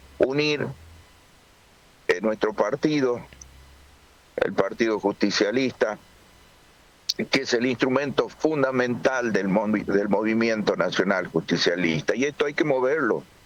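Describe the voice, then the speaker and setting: Over noticeable background noise, a man at medium pitch speaks at a fairly slow pace with lively intonation, very even loudness, and long, frequent pauses. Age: 60s. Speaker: political organizer. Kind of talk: interview.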